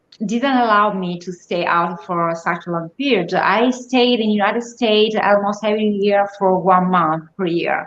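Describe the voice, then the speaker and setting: A woman talks with an Italian accent at a fairly slow pace. Her pitch is fairly high, with ordinary pitch variation. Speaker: guest. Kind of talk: casual chat.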